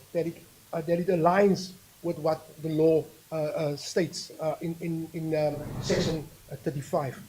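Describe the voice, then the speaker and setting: The man speaks at a fairly quick pace. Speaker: municipal manager. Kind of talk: council meeting report. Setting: council chamber. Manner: halting, many repetitions.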